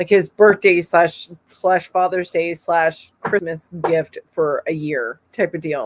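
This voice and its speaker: At a moderate pace, a woman speaks at a medium pitch with ordinary pitch variation. Her voice sounds dry and close, with no echo. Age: 50s. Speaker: crochet youtuber. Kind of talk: casual chat. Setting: live stream. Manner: animated.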